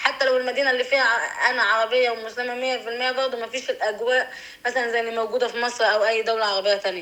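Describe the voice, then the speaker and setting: Over noticeable background noise, a woman talks very fast in a high pitch with monotone, flat intonation. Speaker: interviewee. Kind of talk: interview.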